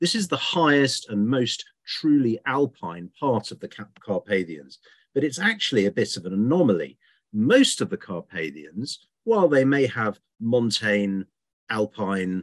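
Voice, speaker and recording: A man with very wide pitch swings and a fairly slow pace, over a quiet background. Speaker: presenter. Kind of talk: lecture. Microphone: webcam.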